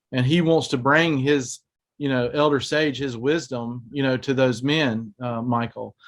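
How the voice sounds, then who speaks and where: Against a quiet background, a man with a medium-pitched voice speaks at a fairly slow pace. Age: 40s. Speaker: ministry host. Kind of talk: casual chat. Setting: video call. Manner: halting.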